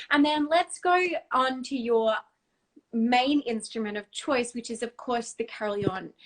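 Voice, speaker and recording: A woman with an Australian accent talks at a moderate pace. Her pitch is high, with ordinary variation. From Australia, Brisbane. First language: Dutch. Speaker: singer. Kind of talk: casual chat. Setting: video call.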